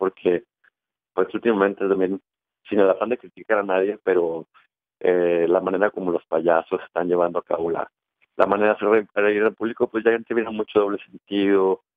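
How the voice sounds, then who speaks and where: Monotone, flat delivery from a man with a fairly low pitch, at a moderate pace. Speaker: theater company member, performer. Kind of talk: interview answer, promoting a show.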